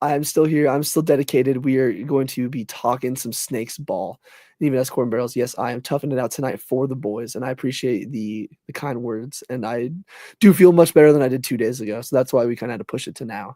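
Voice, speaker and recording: Medium in pitch with a dark, mellow tone, a man speaks at a very fast pace with ordinary pitch variation. The recording is very clean, with a silent background. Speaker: sports podcast co-host. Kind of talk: casual livestream chat. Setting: livestream.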